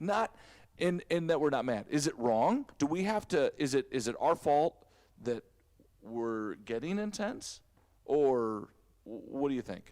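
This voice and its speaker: A man speaks loudly at a fairly slow pace in a fairly high voice, with long, frequent pauses. His tone is animated and his pitch swings very widely. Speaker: church staff member. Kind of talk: casual chat. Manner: loud, intense.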